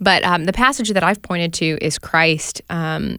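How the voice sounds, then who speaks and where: Ordinary pitch variation from an unremarkable speaking voice, recorded very cleanly against a silent background. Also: woman. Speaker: studio staffer.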